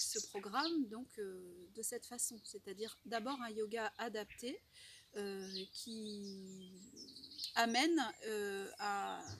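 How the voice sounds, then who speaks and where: Pitch varies in an ordinary way. There is noticeable background noise. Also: woman. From Normandy, France. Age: 40s. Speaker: French teacher. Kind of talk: testimonial talk to camera. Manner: hesitant, many fillers.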